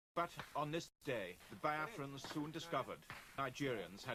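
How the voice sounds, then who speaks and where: A man talks in a fairly high pitch. Music plays in the background. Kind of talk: documentary news narration.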